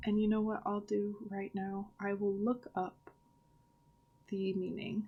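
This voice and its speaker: Somewhat breathy, a woman speaks at a very slow pace in a monotone, flat intonation. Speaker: author discussing her book characters. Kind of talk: casual vlog talk. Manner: stuttering today; hesitant, many fillers.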